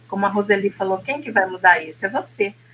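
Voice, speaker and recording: A woman speaks at medium pitch. There is noticeable background noise. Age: 60s. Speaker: therapist. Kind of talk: casual chat.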